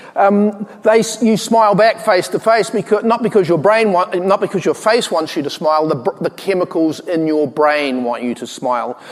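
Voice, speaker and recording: A man speaks at a moderate pace with hardly any pauses, his voice high-pitched for a man. His intonation is lively, and there is noticeable background noise. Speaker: tech company co-founder. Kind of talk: conference keynote talk. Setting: stage with audience. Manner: hesitant, many fillers.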